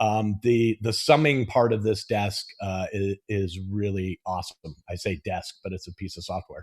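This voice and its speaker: At a moderate pace with hardly any pauses, a man with a Californian accent speaks in a fairly low, somewhat breathy voice with ordinary pitch variation. His loudness swings widely, and the background is quiet. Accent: American, Californian. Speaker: mixing engineer. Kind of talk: technical tutorial chat. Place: studio.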